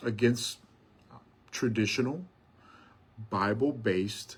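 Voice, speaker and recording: A man with a medium pitch and a somewhat breathy voice speaks with lively intonation. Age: 60s. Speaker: pastor. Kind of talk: casual live stream talk. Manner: hesitant, many fillers and repetitions.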